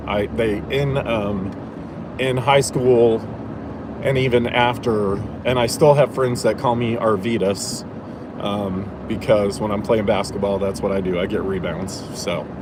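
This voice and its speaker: A man with an American accent talks at a fairly slow pace with ordinary pitch variation, and the recording has noticeable background noise and audible room echo. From Indiana, US Midwest. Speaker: streamer. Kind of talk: casual chat. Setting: in a car. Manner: many fillers and restarts.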